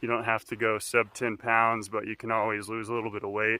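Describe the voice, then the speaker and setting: This man has an American accent and a fairly low pitch. He talks at a fairly quick pace in a monotone, flat intonation. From North Texas. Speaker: hiking vlogger. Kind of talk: casual vlog narration.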